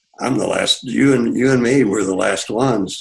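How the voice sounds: Using a gravelly, put-on character voice, a man speaks at a medium pitch. His pace is moderate and his intonation fairly even.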